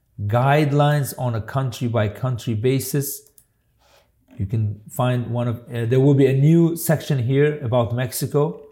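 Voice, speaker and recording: The delivery is somewhat breathy, with a dark, mellow tone, ordinary pitch variation, and a moderate pace. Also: man. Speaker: immigration lawyer hosting weekly live show. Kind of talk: live presentation with Q and A. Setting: online live stream. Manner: halting, with frequent repetitions and fillers.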